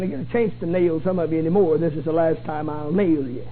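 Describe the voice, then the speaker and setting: Over noticeable background noise, a man talks at a very fast pace in a pompous tone. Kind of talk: sermon, preacher in full flow. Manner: rhetorical, mocking of pompous clergy, rapid and emphatic.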